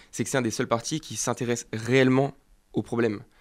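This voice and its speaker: A man with a medium pitch is heard in a very clean recording with a silent background. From France, Var (Provence). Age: 20s. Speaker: political youth campaigner. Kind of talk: political interview.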